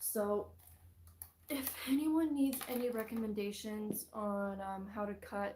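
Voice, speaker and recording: A soft-spoken woman at a fairly slow pace, with noticeable background noise. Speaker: fursuit maker vlogger. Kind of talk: casual tutorial vlog. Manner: soft-spoken, quiet.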